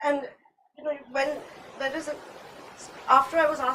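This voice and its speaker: The voice is raised and projected, with a Gujarati accent. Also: woman. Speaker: artist. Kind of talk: panel discussion.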